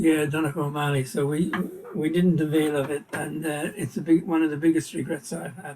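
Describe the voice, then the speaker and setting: Here a man speaks with an Irish accent. His voice is fairly high and his pace fairly quick. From Ireland, Kilkenny. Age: 80s+. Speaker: Irish community leader. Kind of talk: casual interview.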